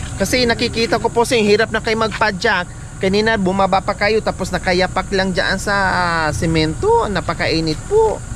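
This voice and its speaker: A woman's medium-pitched voice at a moderate pace, with fairly even intonation, very even loudness and noticeable background noise. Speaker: vlogger helping elderly people. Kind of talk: casual conversation with elderly man.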